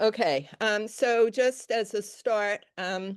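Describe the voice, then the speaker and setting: A woman speaks with a New York accent. The background is quiet. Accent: New York accent, still remaining. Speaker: weaver and color design lecturer. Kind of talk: lecture. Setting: stage with audience. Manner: loud.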